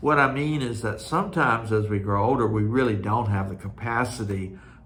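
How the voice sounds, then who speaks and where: With audible room echo, a man speaks in a relaxed tone at a moderate pace, with a fairly low pitch and ordinary pitch variation. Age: 60s. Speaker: cross stitch video host. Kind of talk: casual monologue. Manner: relaxed, with frequent fillers.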